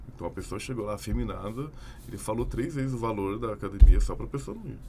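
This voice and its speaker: A man talks at a very fast pace with ordinary pitch variation. His loudness swings widely, and room echo is audible. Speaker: podcast guest. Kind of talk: casual podcast discussion.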